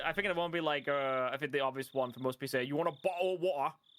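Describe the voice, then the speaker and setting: A woman talks at a very fast pace, her pitch very deep and low. Her pitch variation is ordinary, and there is noticeable background noise. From United Kingdom. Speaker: streamer reading a visual novel with a co-host. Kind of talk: casual chat during a live read-through. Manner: halting, many fillers and restarts.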